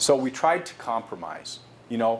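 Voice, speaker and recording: A man talks in a medium pitch. Audible room echo surrounds his voice. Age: 60s. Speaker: company executive giving a guest lecture to students. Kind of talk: lecture.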